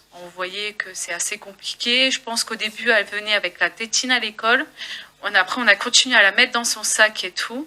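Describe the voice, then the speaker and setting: Big swings in loudness at a fairly quick pace over noticeable background noise. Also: woman, fairly high pitch for a woman, fairly even intonation. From northern France, Gravelines. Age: 20s. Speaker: parent giving testimony. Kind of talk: testimony. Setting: public meeting with audience. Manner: halting.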